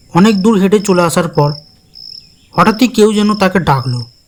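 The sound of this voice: Lively intonation runs through speech delivered at a moderate pace. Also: man, high pitch for a man.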